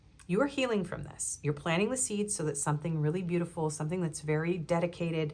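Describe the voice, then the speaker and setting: A woman's fairly low voice at a very fast pace. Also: ordinary pitch variation. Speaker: tarot reader. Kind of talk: tarot reading. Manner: casual, conversational.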